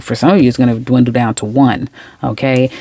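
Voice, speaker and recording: In a New York accent, a woman speaks with a very deep, low pitch and a dark, mellow tone. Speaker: tarot reader. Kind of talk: tarot reading monologue. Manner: fast; animated.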